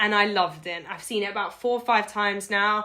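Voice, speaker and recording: A woman with a British accent speaks in a fairly high voice, her tone animated and bright with a sharp edge. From UK. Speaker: video blogger. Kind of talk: casual interview.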